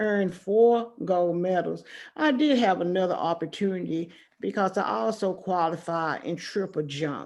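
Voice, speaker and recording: At a fairly slow pace, a woman speaks in an unremarkable speaking voice, fairly low in pitch, with ordinary pitch variation. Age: 60s. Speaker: retired teacher and former track athlete. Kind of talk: interview.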